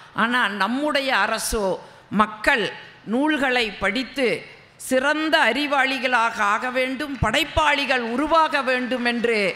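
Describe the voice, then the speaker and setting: A raised, projected voice with a Kongu accent and ordinary pitch variation comes through over noticeable background noise. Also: woman. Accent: Kongu Tamil regional. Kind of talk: public speech.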